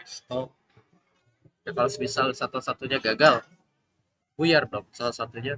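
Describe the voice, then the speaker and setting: At a moderate pace with long, frequent pauses, a man talks at a medium pitch with ordinary pitch variation and a bright, sharp tone in a dry, close sound with no echo. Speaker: student presenting coursework. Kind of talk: class project presentation. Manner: soft-spoken; halting.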